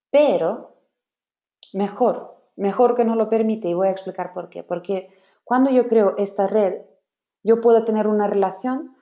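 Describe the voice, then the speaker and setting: A woman with a non-native accent speaks at a fairly slow pace with long, frequent pauses, her fairly high voice dark and mellow in tone with fairly even intonation. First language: not Spanish (speaking Spanish). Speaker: software trainer. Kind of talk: webinar workshop.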